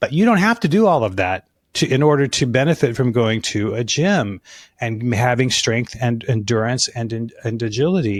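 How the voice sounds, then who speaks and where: A man with a normal speaking voice and an American accent speaks at a medium pitch and moderate pace with lively intonation, on a very clean recording with a silent background. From Alaska and Colorado. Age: 60s. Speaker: fitness business consultant and author. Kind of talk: podcast interview.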